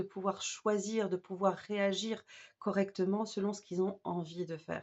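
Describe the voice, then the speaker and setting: A woman talks at a moderate pace. Her pitch sits in the middle range. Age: 40s. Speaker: special educator and wellbeing coach. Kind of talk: course promo talk to camera. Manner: halting, many fillers.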